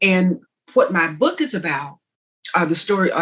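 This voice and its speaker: Speaking in a Southern US accent, a woman sounds animated and somewhat breathy at a medium pitch. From Texas. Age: 60s. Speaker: author. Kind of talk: interview. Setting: podcast.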